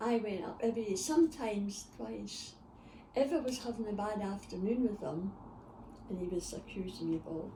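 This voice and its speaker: Lively intonation from a woman at a medium pitch and a moderate pace, with audible room echo and noticeable background noise. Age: 80s+. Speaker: grandmother interviewed by family. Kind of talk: casual chat.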